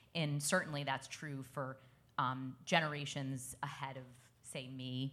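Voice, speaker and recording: With an American accent, a woman talks fairly slowly in a very deep, low pitch, her tone bright and sharp and her intonation monotone and flat. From Brooklyn, New York. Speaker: sports league executive. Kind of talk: panel discussion.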